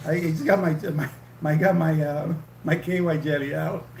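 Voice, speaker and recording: The speech moves at a moderate pace with audible room echo. Noticeable background noise is also present. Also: man. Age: 60s. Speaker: livestream co-host, retired nurse. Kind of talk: casual chat. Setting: livestream. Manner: halting.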